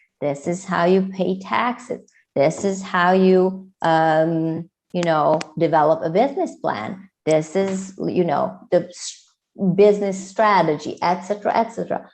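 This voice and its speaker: A woman speaks in a Hungarian accent at a fairly slow pace. Her pitch is fairly low, with ordinary variation. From Hungary. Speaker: entrepreneur and coach. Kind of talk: podcast interview.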